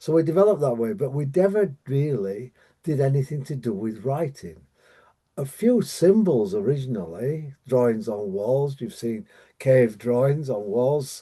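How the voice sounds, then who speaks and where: A man with a British accent speaks at a moderate pace and medium pitch, his tone dark and mellow and his pitch swinging very widely. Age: 70s. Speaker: dyslexia coach. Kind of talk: online training presentation. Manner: halting, many fillers and repetitions.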